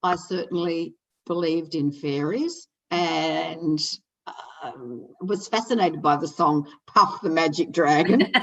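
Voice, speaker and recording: Speaking at a fairly slow pace, a woman with a fairly low pitch, ordinary pitch variation and an unremarkable speaking voice talks. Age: 60s. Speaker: internet radio host. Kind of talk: casual interview chat.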